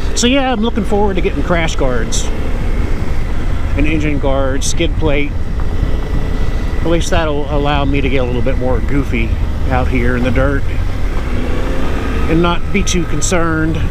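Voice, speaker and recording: The speech moves at a moderate pace with long, frequent pauses. Loud background noise runs underneath. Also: dry sound with no echo. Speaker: motorcycle vlogger. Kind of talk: casual vlog chat. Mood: relaxed, content. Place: motorbike.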